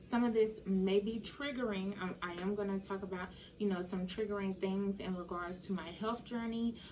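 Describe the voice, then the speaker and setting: Against noticeable background noise, a woman speaks at a medium pitch and moderate pace with fairly even intonation. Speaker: vegan lifestyle vlogger. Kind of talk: casual vlog monologue. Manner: careful enunciation; halting, many fillers.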